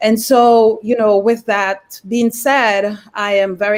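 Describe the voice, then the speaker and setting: A woman with a Jamaican accent, fairly high in pitch, at a fairly slow pace. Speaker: mental health therapist. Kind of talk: casual chat.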